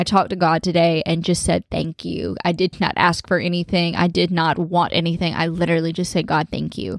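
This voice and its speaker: A woman with a fairly low pitch and vocal fry speaks at a fairly quick pace with hardly any pauses, in a dry, close sound with no echo. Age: 20s. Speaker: podcast host and boutique owner. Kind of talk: casual monologue. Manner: animated.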